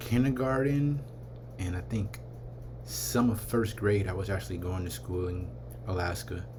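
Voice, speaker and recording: Amid noticeable background noise and audible room echo, a man with an American accent speaks in a very deep, low voice that swings very widely in pitch. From California, Vallejo. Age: 30s. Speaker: vlogger. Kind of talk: casual vlog rant.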